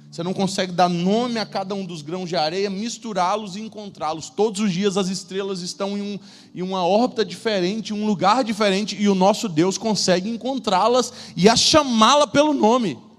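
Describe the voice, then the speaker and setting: Music plays in the background as a man talks at a moderate pace. His pitch is high, with ordinary variation. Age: 30s. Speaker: preacher. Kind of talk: sermon. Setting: church stage with audience. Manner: animated.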